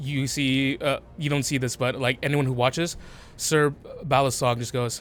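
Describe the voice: The text is read aloud plainly, with fairly even intonation.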